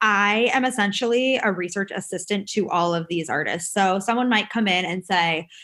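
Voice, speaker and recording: On a very clean recording with a silent background, a woman with an American accent speaks at medium pitch with hardly any pauses, ordinary pitch variation and a bright, sharp tone. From New York. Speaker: dance artist and choreographer. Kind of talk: casual interview. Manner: fast; animated.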